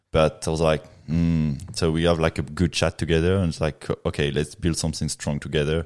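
A man with a French accent speaks at a fairly quick pace in a very deep, low pitch with monotone, flat intonation. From Reunion Island. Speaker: professional mountain biker. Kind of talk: casual podcast interview. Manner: laid back, chilled.

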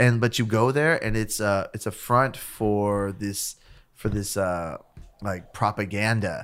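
A plain, everyday voice from a man with an American accent, fairly low in pitch with ordinary pitch variation, at a fairly slow pace on a very clean recording with a silent background. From US West Coast, East Los Angeles. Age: 30s. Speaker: musician. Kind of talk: casual chat.

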